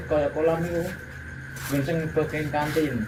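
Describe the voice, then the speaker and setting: With a Central Javanese accent, a man speaks at a fairly high pitch, with audible room echo and noticeable background noise in the recording. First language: Javanese (speaking Indonesian). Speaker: security guard. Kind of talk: interview answers.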